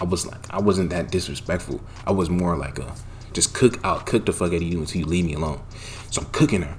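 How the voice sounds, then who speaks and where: Over noticeable background noise, a man speaks very fast in a very deep, low voice, sounding animated, with ordinary pitch variation. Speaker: YouTuber storyteller. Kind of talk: storytime monologue.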